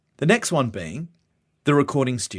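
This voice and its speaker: Here is a man with a normal speaking voice, medium in pitch, talking at a fairly quick pace with lively intonation. The recording is very clean, with a silent background. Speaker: voice actor. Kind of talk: training video lecture.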